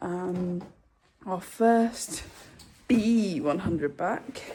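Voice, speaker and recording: The voice is somewhat breathy. A woman speaks with lively intonation. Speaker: equestrian vlogger. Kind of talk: casual vlog.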